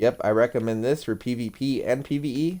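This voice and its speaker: A man with a plain, everyday voice, medium in pitch with ordinary pitch variation, is heard in a very clean recording with a silent background. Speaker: gaming YouTuber. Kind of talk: game review commentary. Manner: casual with fillers.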